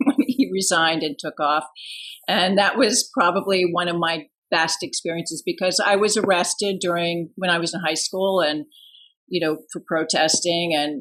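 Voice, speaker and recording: Using a plain, everyday voice, a woman speaks in an American accent with ordinary pitch variation. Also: fairly low pitch for a woman, moderate pace. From US East Coast, Washington DC area. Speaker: artist and activist. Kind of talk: casual interview conversation.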